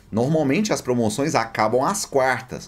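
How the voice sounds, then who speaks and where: Lively in intonation, a man speaks with a Brazilian accent. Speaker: gaming deals YouTuber. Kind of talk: sales pitch, upbeat promo read for a store sponsor, with a rapid rundown of game prices. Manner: friendly, direct, addresses viewers as buddies.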